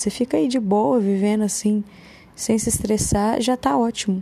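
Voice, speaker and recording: A somewhat breathy, fairly high-pitched woman's voice at a moderate pace, with ordinary pitch variation. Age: 30s. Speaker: podcaster. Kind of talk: casual monologue.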